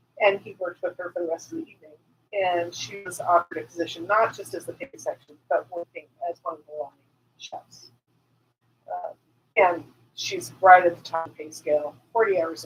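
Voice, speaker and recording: A woman talks at a fairly quick pace with big swings in loudness. She leaves long, frequent pauses. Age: 50s. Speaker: podcast co-host. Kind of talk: casual chat. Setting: live stream.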